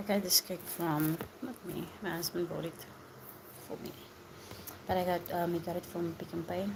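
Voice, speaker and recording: A soft-spoken woman whispering, with long, frequent pauses and noticeable background noise. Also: moderate pace. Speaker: live streamer. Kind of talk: casual chat. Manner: whispering, soft.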